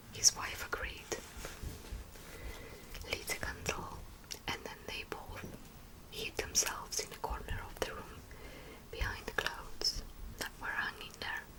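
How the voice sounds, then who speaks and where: Someone is whispering with long, frequent pauses. Noticeable background noise is present. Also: fairly slow pace. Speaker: ASMR creator. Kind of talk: bedtime story reading. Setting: home studio. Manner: whispered.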